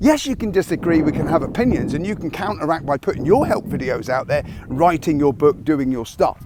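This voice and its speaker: Over noticeable background noise, a man speaks at a fairly quick pace. His fairly high voice has lively intonation. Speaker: military veteran turned online business coach. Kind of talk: motivational talk to camera. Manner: fast; abrupt, aggressive.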